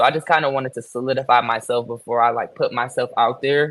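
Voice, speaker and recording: He has a normal speaking voice, pitched in the medium range and delivered at a moderate pace. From Michigan, Detroit. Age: 20s. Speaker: fashion designer. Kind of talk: interview.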